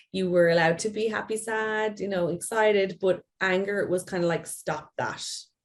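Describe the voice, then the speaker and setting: A woman speaks in an Irish accent with fairly even intonation. The recording is very clean, with a silent background. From Ireland. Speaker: play therapist. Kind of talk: interview.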